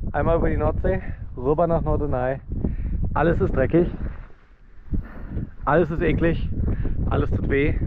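Over noticeable background noise, a man speaks at a moderate pace with long, frequent pauses. The sound is dry with no echo. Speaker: teacher and outdoor adventurer. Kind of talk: casual outdoor vlog talk. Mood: tired, exasperated, half joking. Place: open country. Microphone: phone near.

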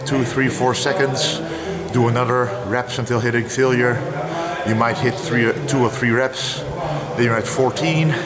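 The background noise is loud. Over it, a man speaks at a fairly slow pace. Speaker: fitness creator. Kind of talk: casual vlog chat explaining training. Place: home room.

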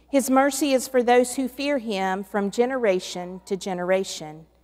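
In a quiet background, a woman speaks at a fairly slow pace. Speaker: clergy reader. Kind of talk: scripture reading. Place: church. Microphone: podium.

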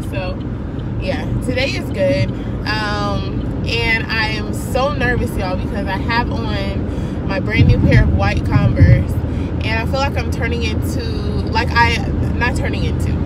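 Over loud background noise, a woman talks fairly slowly in a dry recording with no echo. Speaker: student vlogger. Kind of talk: casual vlog chat. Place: car. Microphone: phone near.

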